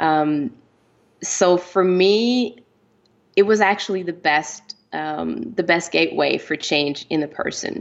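A woman's fairly low voice with a Quebec accent, ordinary pitch variation and a very slow pace. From French Canada. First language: French. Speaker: romance author. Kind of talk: interview. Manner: hesitant, many fillers.

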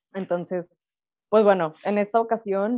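This woman has an unremarkable speaking voice pitched in the medium range. Her pitch varies in an ordinary way. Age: 20s. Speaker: podcast co-host, doctor. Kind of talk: casual chat.

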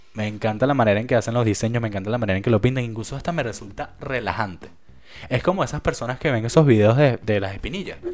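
Over a silent background in a very clean recording, a man talks very fast in a medium pitch with ordinary pitch variation. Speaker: podcast host. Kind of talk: casual solo monologue. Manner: halting.

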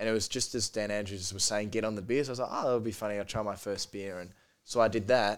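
A man speaks very fast with an Australian accent, his pitch fairly low and his intonation fairly even. The recording is very clean, with a silent background. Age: 20s. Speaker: podcast guest. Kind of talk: casual chat.

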